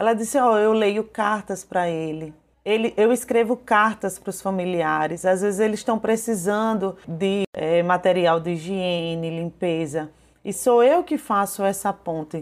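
On a very clean recording with a silent background, a woman with a plain, everyday voice speaks at medium pitch and a fairly slow pace, her pitch varying in an ordinary way. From Brazil, Paraíba (João Pessoa). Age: 30s. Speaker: small business owner and mother of a patient. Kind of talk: personal testimony interview.

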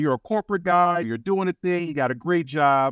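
Against a quiet background, in a dry, close sound with no echo, a man has an ordinary speaking voice with a fairly high pitch, lively intonation and a moderate pace. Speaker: podcast host. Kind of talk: interview conversation.

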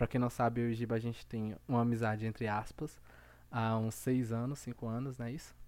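Over a very clean recording with a silent background, a man speaks at a fairly quick pace in a medium pitch with monotone, flat intonation. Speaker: podcast host. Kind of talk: casual chat. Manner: calmer than usual.

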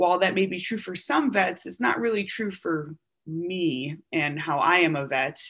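In a plain, everyday voice, a woman with an American accent speaks at a fairly slow pace, her fairly low pitch carried by lively intonation. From US Upper Midwest (Wisconsin). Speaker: military surgeon. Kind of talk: interview.

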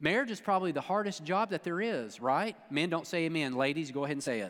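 Lively intonation and an animated, playful tone mark this man's voice. He speaks at a moderate pace on a very clean recording with a silent background. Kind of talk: sermon. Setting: church with congregation. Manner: animated, playful, jokey, teasing the congregation with call-and-response; conversational, preacherly, pausing and repeating phrases for emphasis.

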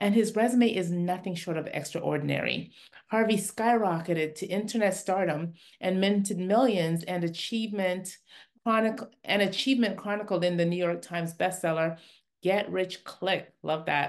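In a normal speaking voice, a woman talks at a moderate pace and medium pitch with ordinary pitch variation against a quiet background. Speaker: podcast host. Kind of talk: interview, casual chat. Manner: laughs often, warm.

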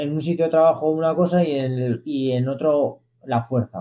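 This man has a normal speaking voice, fairly high in pitch. He speaks at a fairly slow pace with ordinary pitch variation. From Zaragoza, Aragon, Spain. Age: 30s. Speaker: elite distance runner. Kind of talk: interview.

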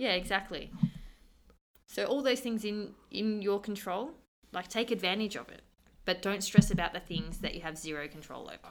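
A medium-pitched woman's voice with vocal fry, moderate pace, ordinary pitch variation, long and frequent pauses, and big swings in loudness. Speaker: gym coach and co-host.

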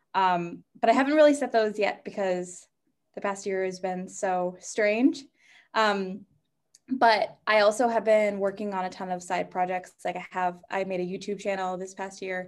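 Against a quiet background, a woman with an ordinary speaking voice and a medium pitch talks at a moderate pace with ordinary pitch variation. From New Hampshire, US. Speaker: stand-up comedian. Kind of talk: casual interview. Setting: video call.

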